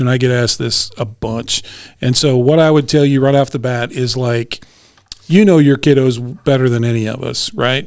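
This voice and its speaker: A man's ordinary speaking voice at medium pitch and a moderate pace. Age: 50s. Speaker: police detective. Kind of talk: podcast interview.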